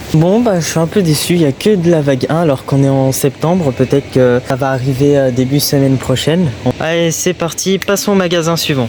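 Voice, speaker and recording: With hardly any pauses, the speech runs at a fairly quick pace and very even loudness over noticeable background noise. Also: man, fairly high pitch for a man, ordinary pitch variation. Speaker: toy hunting YouTuber. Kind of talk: vlog. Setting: in shops. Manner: soft-spoken.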